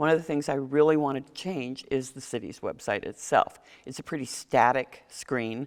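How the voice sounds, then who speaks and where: Very deep, low pitch from a woman, with fairly even intonation and big swings in loudness, in a very clean recording with a silent background. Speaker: mayoral candidate. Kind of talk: political forum answer. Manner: fast.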